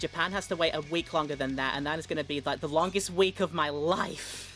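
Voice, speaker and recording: Speech comes at a fairly quick pace with a British accent. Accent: UK. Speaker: streamer and interviewer. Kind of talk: video call interview. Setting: remote call.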